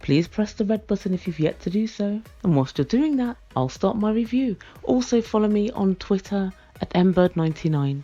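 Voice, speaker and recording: A woman with a British accent, a dark, mellow tone, medium pitch, lively intonation and a moderate pace. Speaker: reality TV review vlogger. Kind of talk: casual commentary review. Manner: softer, quieter than usual.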